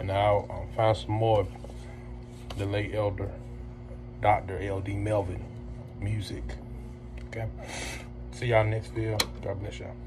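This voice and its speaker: A man's fairly low voice at a moderate pace, with very wide pitch swings, long, frequent pauses and noticeable background noise. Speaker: music reaction vlogger. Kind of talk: casual vlog chat. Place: home room. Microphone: phone near.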